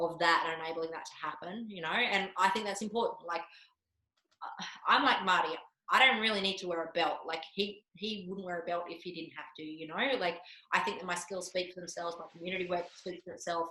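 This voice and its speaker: A woman with an Australian accent at a fairly quick pace, fairly low in pitch, with fairly even intonation and big swings in loudness. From Australia, Canberra. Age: 40s. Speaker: martial arts instructor. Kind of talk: podcast interview. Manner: casual, filler-heavy.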